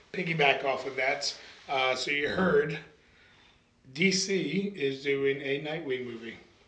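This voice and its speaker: A man speaks at a fairly slow pace, with long, frequent pauses. Noticeable background noise and audible room echo are present. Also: fairly high pitch for a man, ordinary pitch variation. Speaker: podcast co-host. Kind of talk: casual chat.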